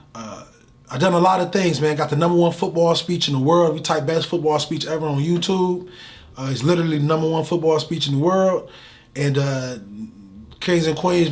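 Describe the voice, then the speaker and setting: Fairly quick, fairly high male speech with audible room echo. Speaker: motivational speaker. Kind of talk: interview. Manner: animated.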